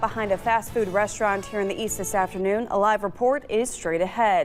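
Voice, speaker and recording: Over music in the background, a woman with an American accent talks at a fairly quick pace and a fairly high pitch. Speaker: television news anchor. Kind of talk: TV news anchor delivery.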